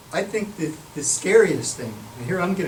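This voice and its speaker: Room echo can be heard and background noise is clearly present as a man talks. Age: 70s. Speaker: professor. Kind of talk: Q&A after a lecture.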